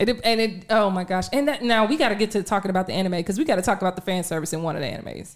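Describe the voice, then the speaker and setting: Lively in intonation, a woman speaks very fast at medium pitch. The recording is very clean, with a silent background. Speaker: podcast co-host and producer. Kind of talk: casual chat. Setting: home studio, live stream. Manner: loud.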